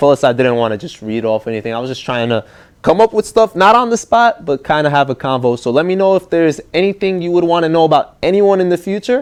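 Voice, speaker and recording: Against a quiet background, a man talks at a very fast pace. His pitch is fairly high and swings very widely. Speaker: gaming YouTuber and podcast host. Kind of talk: casual interview podcast.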